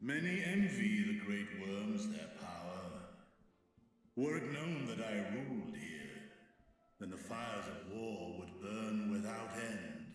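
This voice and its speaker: Using a put-on character voice, a man speaks at a medium pitch. A strong echo surrounds him. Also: fairly slow pace. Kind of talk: archaic speech. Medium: video game. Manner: solemn, formal.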